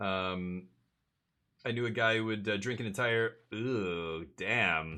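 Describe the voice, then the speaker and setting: A man with an American accent talks at a very slow pace in a bright, sharp tone, with ordinary pitch variation and very even loudness. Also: fairly low pitch for a man. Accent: Canadian with some American-sounding vowels. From Canada, Winnipeg. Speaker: video game streamer. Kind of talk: casual live stream chat. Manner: hesitant, with fillers and repeated words.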